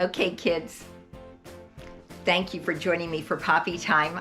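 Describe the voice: A fairly bright tone with fairly even intonation at a fairly slow pace, faint music in the background. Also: woman.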